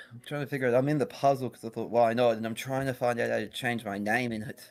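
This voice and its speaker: Speaking at a very fast pace, a man with a medium pitch keeps a monotone, flat intonation while his loudness swings widely. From Australia. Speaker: stream guest. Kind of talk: casual chat. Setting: Discord voice call.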